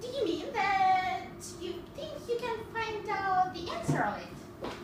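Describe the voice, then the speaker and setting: In an extremely high put-on character voice, the speaker talks at a fairly slow pace. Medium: stage play. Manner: contrary, snippy.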